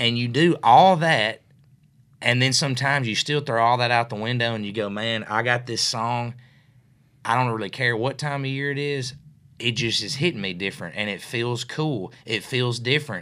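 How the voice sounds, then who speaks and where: On a very clean recording with a silent background, a man with a West Tennessee accent speaks at a moderate pace in a bright, sharp tone, his medium pitch showing ordinary variation. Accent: West Tennessee Southern US. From West Tennessee (Mercer, near Jackson). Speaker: singer-songwriter. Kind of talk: casual interview chat. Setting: studio.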